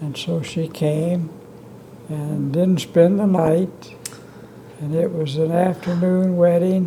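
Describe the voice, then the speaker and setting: With an American accent, a man speaks at a high pitch in a monotone, flat intonation. His pace is very slow with long, frequent pauses, and noticeable background noise runs underneath. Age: 80s+. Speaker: retired physician and civic leader. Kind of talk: interview answer.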